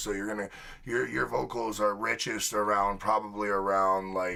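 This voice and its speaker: Here a man speaks at a fairly low pitch in a bright, sharp tone with monotone, flat intonation. The recording is very clean with a silent background. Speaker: music producer and livestream reviewer. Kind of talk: live music review stream. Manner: casual, halting with fillers. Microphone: studio condenser room mic and boom vocal mic.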